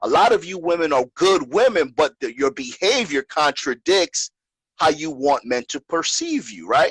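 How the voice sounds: In a dry, close sound with no echo, a man with a slightly husky edge and a fairly bright tone speaks with lively intonation.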